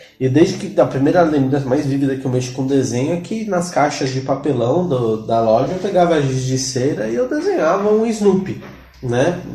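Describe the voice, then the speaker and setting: With audible room echo and noticeable background noise, a man speaks at a moderate pace in a fairly high pitch with lively intonation. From São Paulo, Brazil (Ipiranga). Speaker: illustrator and teacher. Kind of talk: casual chat.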